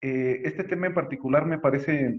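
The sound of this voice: A man speaks at medium pitch with ordinary pitch variation. His pace is moderate.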